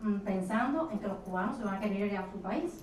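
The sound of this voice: In a room with audible echo, a woman with a slightly mellow tone speaks at a moderate pace with ordinary pitch variation.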